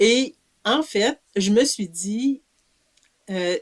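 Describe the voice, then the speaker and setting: With a Quebec accent, a woman speaks at a fairly high pitch with ordinary pitch variation, in a dry, close sound with no echo. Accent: Québécois French. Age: 70s. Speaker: author and community living advocate. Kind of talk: interview. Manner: hesitant, many fillers.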